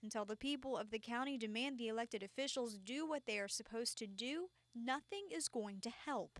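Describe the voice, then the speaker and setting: A normal speaking voice in an American accent, with lively intonation, very even loudness, a fairly quick pace, hardly any pauses and a dry, close sound with no echo. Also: woman, fairly high pitch for a woman. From Texas. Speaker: TV news anchor and reporter. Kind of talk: TV news field report.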